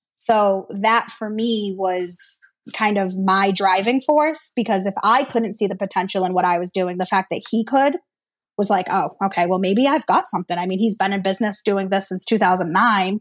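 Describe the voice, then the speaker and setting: A woman has a normal speaking voice, medium in pitch with ordinary pitch variation. She keeps a moderate pace on a very clean recording with a silent background. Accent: American. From Massachusetts. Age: 30s. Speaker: service advisor. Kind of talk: interview.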